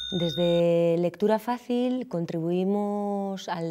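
A dark, mellow tone with ordinary pitch variation against a quiet background. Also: woman. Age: 30s. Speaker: journalist and reading advocate. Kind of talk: interview testimony; interview answer. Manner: hesitant with fillers. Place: hall.

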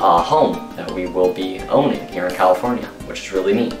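Over music in the background, a man talks at a fairly low pitch. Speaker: vlogger. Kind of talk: casual vlog chat. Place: home room.

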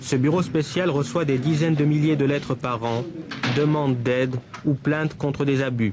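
At a moderate pace, a man with a fairly high pitch speaks with fairly even intonation over noticeable background noise. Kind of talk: 1978 newsreel narration and interviewer questions. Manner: formal, measured, crisp documentary-style delivery; even-paced, authoritative voice-over.

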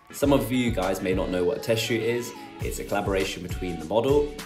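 A man talks at a moderate pace. Behind him, music plays. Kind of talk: casual vlog chat. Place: kitchen. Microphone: phone near.

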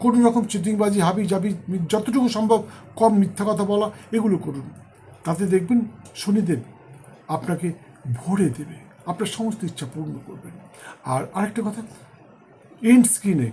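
A high male voice with a dark, mellow tone and big swings in loudness. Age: 60s. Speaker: astrologer. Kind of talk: horoscope monologue to camera. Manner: halting, in short phrases.

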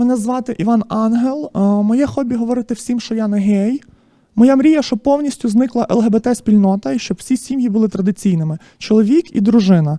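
The voice is a put-on character voice, squeaky and fairly high in pitch. It moves at a fairly quick pace. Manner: comedic, declarative.

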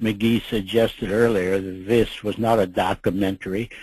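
In an Upper Midwest accent, a man with a fairly low pitch and a dark, mellow tone talks at a moderate pace with monotone, flat intonation. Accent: Upper Midwest American. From Minneapolis, Minnesota. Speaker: WWII fighter pilot veteran. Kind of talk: interview reminiscence. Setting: online webinar audio connection.

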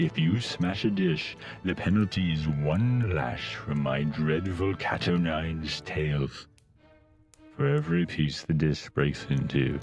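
A man uses a put-on character voice with a very deep, low pitch, moving at a fairly slow pace as faint music plays behind him. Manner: stern, commanding.

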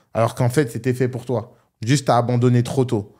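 A man talks at a fairly quick pace in a medium pitch. His tone is dark and mellow, with a quiet background. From northern France, Roubaix; France. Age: 20s. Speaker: online entrepreneur; podcast guest. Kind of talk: casual interview. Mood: calm, reflective advice. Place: studio. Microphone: studio mic.

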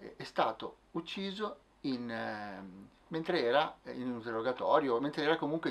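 The delivery runs at a fairly slow pace. Its intonation is lively. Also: man. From Milan, northern Italy. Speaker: musician and playwright. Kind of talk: testimony interview. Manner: halting. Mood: earnest, reflective. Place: office. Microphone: camera far.

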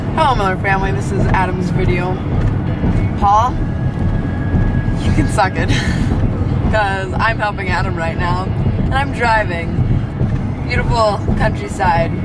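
With music playing in the background, a woman talks at a moderate pace, leaving long, frequent pauses. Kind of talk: casual vlog chat. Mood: playful, joking. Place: car. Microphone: phone near.

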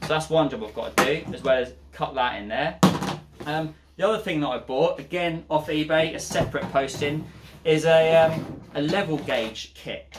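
A man speaks at a moderate pace with ordinary pitch variation. Loud background noise runs underneath. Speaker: van conversion vlogger. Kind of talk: tutorial. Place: garage.

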